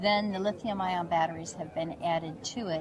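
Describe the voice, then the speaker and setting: Against noticeable background noise, a woman speaks with ordinary pitch variation in a dry sound with no echo. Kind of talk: interview answer. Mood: upbeat, promotional. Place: hall.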